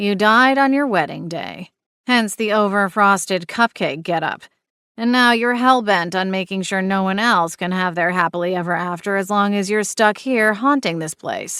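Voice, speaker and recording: A put-on character voice that sounds female drawls in a bored tone at medium pitch and a moderate pace, recorded very cleanly against a silent background. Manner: bored drawl.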